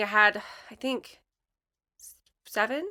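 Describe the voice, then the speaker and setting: A bright, sharp voice comes through on a very clean recording with a silent background. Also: woman. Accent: Michigan. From Michigan. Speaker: letterpress and design studio artist. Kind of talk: casual chat.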